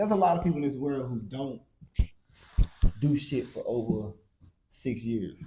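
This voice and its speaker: A man's dark, mellow, somewhat breathy voice at a medium pitch, with lively intonation, a moderate pace, and long, frequent pauses. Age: 30s. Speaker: podcast host. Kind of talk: casual interview chat.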